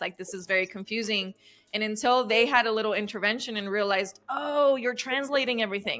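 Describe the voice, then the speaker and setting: With a Spanish accent, a woman speaks at a fairly quick pace and with fairly even intonation. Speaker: relationship coach. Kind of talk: interview.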